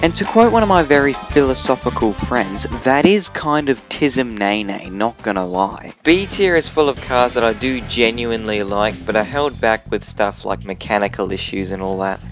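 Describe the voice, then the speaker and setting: A man speaks with hardly any pauses over music in the background. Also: medium pitch for a man, lively intonation, moderate pace. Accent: Australian. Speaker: YouTuber. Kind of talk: casual comedic commentary. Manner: comedic, casual.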